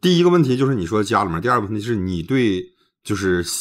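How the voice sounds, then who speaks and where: Over a quiet background, a man with a fairly low voice talks very fast with lively intonation. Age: 40s. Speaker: livestream advice host. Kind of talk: live-stream call-in advice. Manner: blunt, lively. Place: home room. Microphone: phone near.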